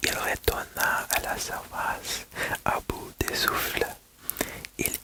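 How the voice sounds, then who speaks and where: A woman whispers very slowly, with noticeable background noise around her. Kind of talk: bedtime-style story reading. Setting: ASMR video. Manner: whispered, soft.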